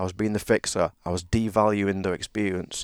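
Recorded very cleanly against a silent background, a man with a British accent speaks at a fairly low pitch in a dry, close sound with no echo. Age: 50s. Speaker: men's leadership coach. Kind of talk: casual chat.

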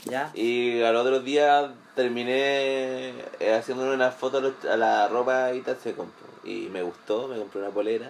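A man with a Chilean accent speaks at a fairly slow pace, his medium pitch held in fairly even intonation. Noticeable background noise runs underneath. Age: 20s. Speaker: graphic designer. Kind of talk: casual chat. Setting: at a home.

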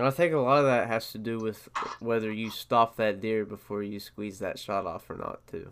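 A man speaks with an Appalachian accent at a medium pitch. His pace is moderate, with ordinary pitch variation. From West Virginia. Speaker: podcast host, hunter. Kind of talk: casual chat.

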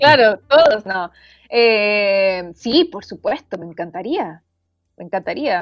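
A woman at medium pitch, very slow, with very wide pitch swings and big swings in loudness. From Chile. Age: 30s. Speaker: writer and journalist. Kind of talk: casual interview. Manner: halting, many repetitions.

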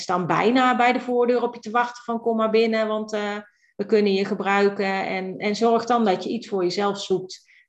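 A woman uses a normal speaking voice at a medium pitch, with fairly even intonation and a moderate pace. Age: 50s. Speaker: virtual assistant, entrepreneur. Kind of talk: casual interview.

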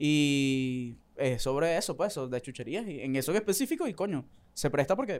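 This man speaks with a Caracas accent at a fairly high pitch. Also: lively intonation, moderate pace, very clean recording, silent background. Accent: Venezuelan Caracas-area Spanish. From Venezuela, Valles del Tuy. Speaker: street vendor and content creator. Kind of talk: casual chat.

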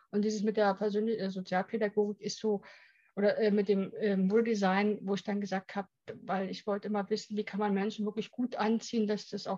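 A woman speaks very fast with a medium pitch, a dark, mellow tone, and somewhat breathy delivery in monotone, flat intonation. The sound is dry and close, with no echo. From East Germany. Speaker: image and etiquette consultant. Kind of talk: interview. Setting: studio.

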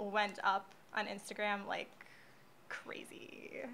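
Over noticeable background noise, a woman with a fairly high voice speaks at a very slow pace. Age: 20s. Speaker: social media marketer. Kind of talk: casual chat.

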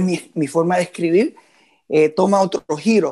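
Pitched high for a man, his voice keeps a fairly even intonation. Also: quiet background. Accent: Puerto Rican. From Puerto Rico, Moca. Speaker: musician and composer. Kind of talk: interview conversation.

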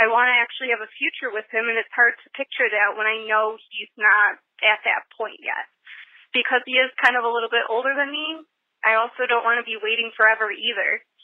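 A woman with a plain, everyday voice talks at a fairly quick pace, with a fairly high pitch and fairly even intonation. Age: 20s. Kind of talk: recorded voicemail question.

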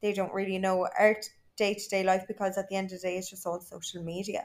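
A woman with an Irish accent talks at a fairly quick pace in a medium pitch with fairly even intonation. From Ireland. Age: 20s. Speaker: social media influencer. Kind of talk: casual chat.

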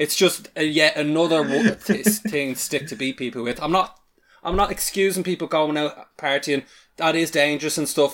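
With an Irish accent, a man speaks at a fairly high pitch with ordinary pitch variation. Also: moderate pace. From Ireland. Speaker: podcast guest. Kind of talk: casual discussion podcast.

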